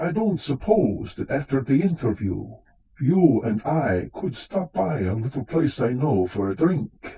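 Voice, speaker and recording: At a fairly slow pace, a man performs in a put-on character voice. His pitch sits in the medium range. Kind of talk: live radio drama performance.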